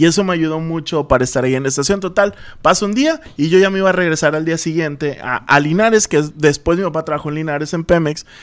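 Very fast and fairly high-pitched, a man speaks with ordinary pitch variation on a very clean recording with a silent background. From Tamaulipas, Mexico (Altamira). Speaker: radio and TV producer. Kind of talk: casual chat.

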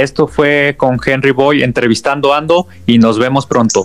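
A man with a central Mexican accent at a medium pitch and a fairly slow pace, with music in the background. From Mexico, León, Guanajuato. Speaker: podcast host. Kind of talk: show intro; casual interview.

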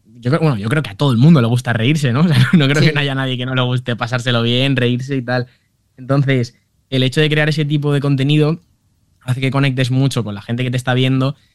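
A man rattles along at a very fast pace in a medium pitch with fairly even intonation. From Valencia, Spain. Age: 20s. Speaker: humor content creator. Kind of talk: interview.

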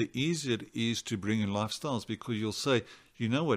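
Man's medium-pitched voice, a normal speaking voice, with ordinary pitch variation and a very clean recording over a silent background. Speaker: psychiatrist. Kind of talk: interview.

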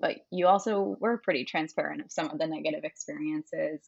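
Here a woman has an ordinary speaking voice. She talks at a fairly quick pace with a fairly low pitch. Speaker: podcast co-host. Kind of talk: casual interview chat.

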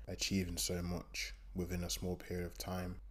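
Speaking with an East Midlands accent, a man keeps a moderate pace. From East Midlands, England. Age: 20s. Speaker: strength and conditioning coach. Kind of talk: solo podcast monologue.

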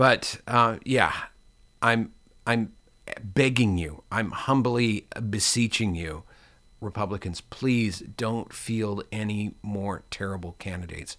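A man with an American accent, fairly low pitch, bright, sharp tone, ordinary pitch variation and a very slow pace. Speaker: musician and podcast host. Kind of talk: casual monologue. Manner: halting, many fillers.

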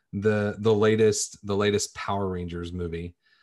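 A man speaks in an unremarkable speaking voice at a fairly low pitch. His pace is moderate. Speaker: podcast host. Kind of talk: casual chat.

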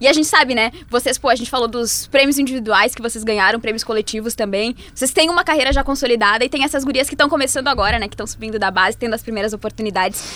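Speaking very fast with hardly any pauses, a woman uses a fairly high pitch and ordinary pitch variation. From Brazil, Serra Gaúcha. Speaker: sports journalist, podcast co-host. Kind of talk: casual interview chat. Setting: studio.

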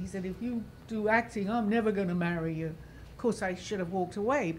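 A woman speaks at a medium pitch with an American accent. Her voice is somewhat breathy. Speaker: guest. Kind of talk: casual chat.

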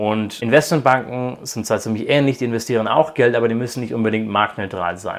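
A man speaks at a fairly quick pace with hardly any pauses, his medium pitch carrying ordinary variation. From Croatia (raised by German parents). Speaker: PhD student in quantum computing. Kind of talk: interview. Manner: hesitant, many fillers.

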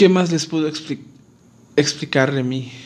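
Speaking at a fairly slow pace, a man's voice sits at a fairly high pitch. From Mexico, Acapulco, Guerrero. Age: 20s. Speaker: dental student and podcaster. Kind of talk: casual monologue. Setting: alone at home.

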